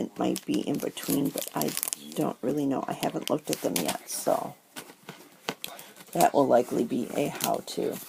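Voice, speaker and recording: The speaker is a woman talking at a moderate pace. Noticeable background noise is present. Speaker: paper crafter, stamp collector. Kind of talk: casual talk to camera.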